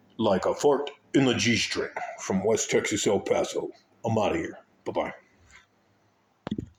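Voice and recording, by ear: A put-on character voice comes through raspy at a moderate pace. Long pauses break it up often. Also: man.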